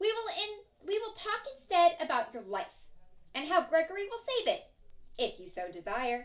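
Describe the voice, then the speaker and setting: A woman uses a put-on character voice at an extremely high pitch. She keeps a raised, projected delivery at a moderate pace. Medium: read story. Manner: speaks of himself in third person.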